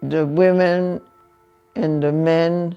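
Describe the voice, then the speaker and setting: Behind the voice, music plays, and the pitch rises and falls in an ordinary way. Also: woman. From Hungary. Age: 80s+. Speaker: Holocaust survivor. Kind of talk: interview answer.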